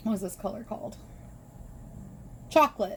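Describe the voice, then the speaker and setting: In an American accent, a woman speaks at a fairly high pitch. She sounds somewhat breathy, with an animated, excited tone. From Michigan, US Midwest. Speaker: crochet YouTuber. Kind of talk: casual vlog, show-and-tell haul.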